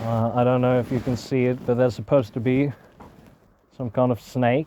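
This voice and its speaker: A man's mumbling at medium pitch and a moderate pace. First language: not English. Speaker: vlogger living off-grid in the woods. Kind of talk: casual vlog narration while walking. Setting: outdoors in the woods. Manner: hesitant, many filler sounds.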